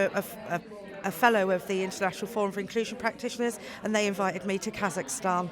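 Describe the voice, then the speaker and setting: Music plays in the background. A woman speaks at a medium pitch with monotone, flat intonation. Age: 40s. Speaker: charity CEO. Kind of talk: event interview. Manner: halting.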